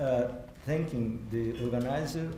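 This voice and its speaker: A man with a non-native accent speaks at a fairly slow pace, with audible room echo and noticeable background noise. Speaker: theology professor. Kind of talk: keynote lecture. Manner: halting.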